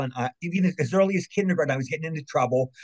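In an American accent, a man speaks very fast in a somewhat breathy voice. The recording is dry and close, with no echo. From Maryland, US. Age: 60s. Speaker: actor and voice actor. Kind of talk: casual interview chat, storytelling.

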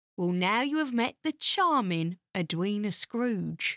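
A woman uses a put-on character voice with a medium pitch and a fairly bright tone. She speaks slowly with big pitch swings on a very clean recording with a silent background.

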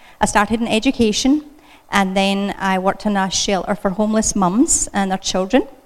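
A woman's voice sits at medium pitch, varying in an ordinary way as she talks at a moderate speed. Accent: Scottish. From Scotland. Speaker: children's ministry speaker. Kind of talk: church talk. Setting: church.

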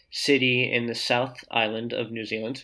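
Monotone, flat intonation from a man with a New Jersey accent, on a very clean recording with a silent background. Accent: New Jersey American. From US Northeast, New Jersey. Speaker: co-living design consultant. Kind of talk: interview conversation. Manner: halting.

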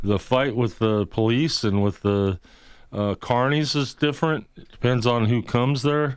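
Very clean recording, silent background. An unremarkable speaking voice moves at a moderate pace with ordinary pitch variation. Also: man, medium pitch for a man. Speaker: street preacher. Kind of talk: talk radio interview. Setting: studio.

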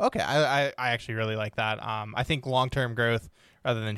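A man with a normal speaking voice, fairly low in pitch, at a fairly quick pace, on a very clean recording with a silent background. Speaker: podcast host. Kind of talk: interview conversation.

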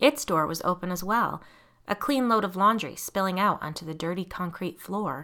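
The pitch rises and falls in an ordinary way. The text is read aloud in a natural voice.

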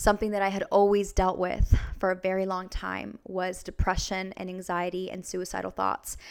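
A woman with an American accent, medium in pitch, at a moderate pace. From US Pacific Northwest, Vancouver, Washington. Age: 20s. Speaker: former stripper turned church minister. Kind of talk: testimony.

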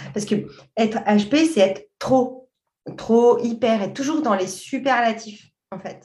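A woman with a fairly high pitch and a dark, mellow, somewhat breathy tone speaks at a very slow pace with long, frequent pauses, ordinary pitch variation and big swings in loudness. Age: 40s. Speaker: journalist and coach. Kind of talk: interview.

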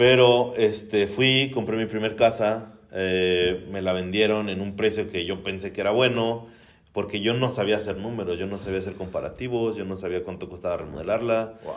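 A man with a Mexican accent speaks at a moderate pace in a fairly low voice. His intonation is fairly even, and there is audible room echo. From Mexico. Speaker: real estate investor. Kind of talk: casual interview.

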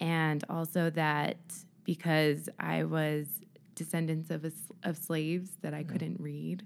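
In a very clean recording with a silent background, a woman with a very deep, low pitch and an American accent speaks at a very slow pace in a monotone, flat intonation. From Utah. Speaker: podcast guest; podcast host. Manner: soothing, calm, confident.

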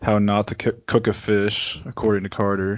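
A man talks in a Texan accent at a fairly low pitch. His pace is fairly slow. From Texas. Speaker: podcast guest. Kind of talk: casual chat. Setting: video call.

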